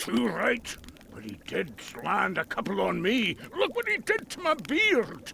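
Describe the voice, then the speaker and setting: A man speaks at a fairly slow pace in a put-on character voice. There is clear background noise. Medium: video game. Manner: boisterous, swaggering.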